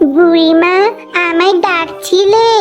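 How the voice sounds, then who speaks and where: A cartoonish character voice at an extremely high pitch comes through over clear background noise. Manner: eager, quick.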